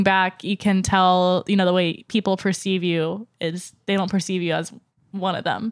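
Speaking with an American accent, a woman holds a monotone, flat intonation at a medium pitch and moderate pace, recorded very cleanly with a silent background. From US South. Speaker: pop-culture writer and comics fan. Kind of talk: casual panel discussion. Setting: in-person recording in New York City.

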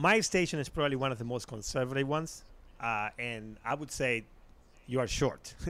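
The man speaks with an Argentinian accent at a moderate pace. His tone is bright and sharp. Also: medium pitch for a man, ordinary pitch variation. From Argentina. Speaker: radio producer. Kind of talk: casual chat.

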